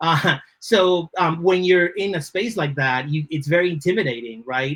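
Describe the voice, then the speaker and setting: A man speaks with a Spanish accent. His pitch is fairly high. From Dominican Republic, then Lawrence, Massachusetts. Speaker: creative director. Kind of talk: podcast interview.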